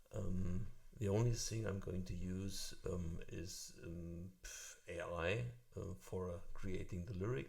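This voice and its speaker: A man with a non-native accent speaks at a very deep, low pitch and a very slow pace, sounding somewhat breathy. His intonation is fairly even, and audible room echo surrounds him. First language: German. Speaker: music tutorial youtuber. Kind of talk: tutorial. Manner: halting, many fillers.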